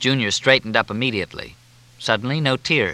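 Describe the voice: What you hear is plain reading aloud.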